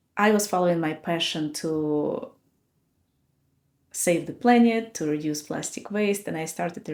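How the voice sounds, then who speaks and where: A woman talks at a fairly slow pace. Her pitch is fairly low with ordinary variation. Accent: non-native. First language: not English. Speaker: podcast host. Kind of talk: personal reflection talk.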